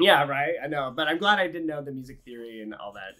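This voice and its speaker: Lively in intonation, a man with an American accent talks at a fairly quick pace. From Texas, Houston. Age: 30s. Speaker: orchestral cellist. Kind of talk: interview. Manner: casual, hesitant with many fillers.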